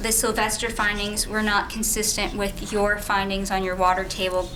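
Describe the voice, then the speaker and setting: A woman with medium pitch speaks at a moderate pace in a monotone, flat intonation and very even loudness, with audible room echo and noticeable background noise. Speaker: lawyer. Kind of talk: cross-examination. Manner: soft-spoken.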